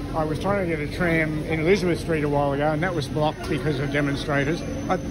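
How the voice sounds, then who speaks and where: Amid noticeable background noise and audible room echo, a man with an Australian accent talks very fast in a monotone, flat way. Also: fairly high pitch for a man. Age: 70s. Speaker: local resident filming protests. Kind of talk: street conversation; vlog commentary. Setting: outdoors. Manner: halting.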